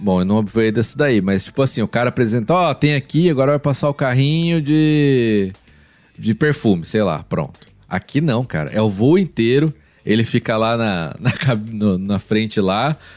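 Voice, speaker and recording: A man's ordinary speaking voice at medium pitch, moderate pace and very even loudness, with lively intonation. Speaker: podcast co-host and pastor. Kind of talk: casual chat.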